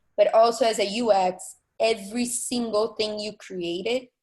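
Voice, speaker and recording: Someone with a non-native accent talks at a fairly slow pace with ordinary pitch variation. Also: woman. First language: not English. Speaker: art director panelist. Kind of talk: panel discussion. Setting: video call.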